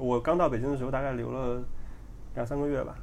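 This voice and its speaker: A man speaks at a very fast pace with a medium pitch. His intonation stays fairly even, and the room echo is audible. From China, Henan province. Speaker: podcast guest, engineer. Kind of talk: casual chat.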